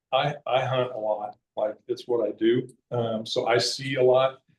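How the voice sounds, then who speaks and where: A man speaks in a monotone with flat intonation and a somewhat breathy voice. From Kansas. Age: 60s. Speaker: conservation advocate and hunter. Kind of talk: public talk. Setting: library meeting room with audience. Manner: casual, halting with fillers.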